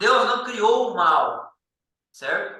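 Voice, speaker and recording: A raised, projected voice moves at a very slow pace, with audible room echo. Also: man. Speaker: Bible study teacher. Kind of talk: Bible study lesson.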